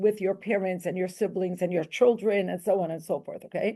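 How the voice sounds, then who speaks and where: With a quiet background behind her, a woman talks at a moderate pace in a dark, mellow tone. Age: 60s. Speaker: campus rabbi's wife, author and speaker. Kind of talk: interview talk before an audience. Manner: animated, with fillers.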